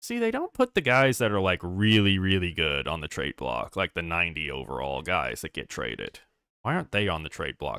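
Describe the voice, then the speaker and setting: A man's very deep, low voice with a bright, sharp tone and vocal fry, at a fairly quick pace, dry and close with no echo on a very clean recording with a silent background. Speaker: gaming streamer. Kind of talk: live gameplay stream commentary.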